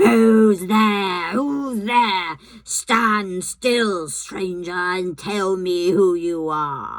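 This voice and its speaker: A woman puts on a growling character voice at a medium pitch, speaking at a very slow pace with hardly any pauses. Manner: menacing, demanding.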